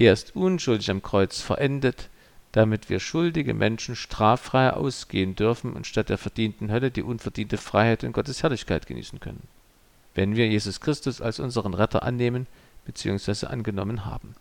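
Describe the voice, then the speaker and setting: A man speaks in a normal speaking voice at medium pitch, moderate pace and with ordinary pitch variation. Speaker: pastor. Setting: church. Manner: formal, measured and earnest, with a solemn pastoral tone.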